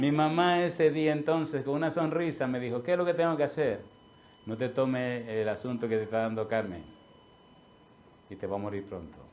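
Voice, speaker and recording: Medium-pitched man, audible room echo around him. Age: 60s. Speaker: pastor. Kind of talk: sermon.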